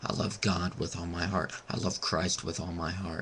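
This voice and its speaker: A man's very deep, low voice at a moderate pace over noticeable background noise. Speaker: vlogger. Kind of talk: webcam rant. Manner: halting.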